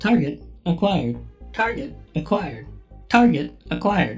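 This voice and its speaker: Someone does a put-on character voice at a moderate pace, with faint music in the background. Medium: audio drama. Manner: flat, clipped announcements.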